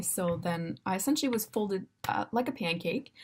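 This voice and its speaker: The voice is somewhat breathy, with a Canadian accent. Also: woman. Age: 20s. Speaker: university student and para dressage rider. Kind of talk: personal introduction video. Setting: dorm room. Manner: casual, with many fillers.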